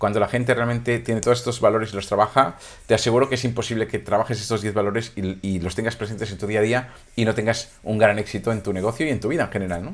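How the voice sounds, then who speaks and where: Speaking very fast, a man with a medium-pitched voice keeps his intonation fairly even. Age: 50s. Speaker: business coach. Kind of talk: solo podcast monologue. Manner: halting with frequent repetitions.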